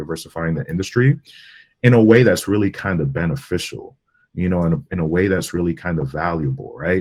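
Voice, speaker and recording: In a Spanish accent, a man speaks very fast with lively intonation. His pitch is very deep and low. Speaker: digital media strategist. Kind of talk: interview on video call. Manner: casual, relaxed with fillers.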